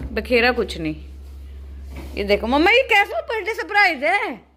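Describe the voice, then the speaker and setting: Noticeable background noise is heard as a woman talks very slowly. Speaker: family vlogger. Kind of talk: casual vlog chat. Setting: at home.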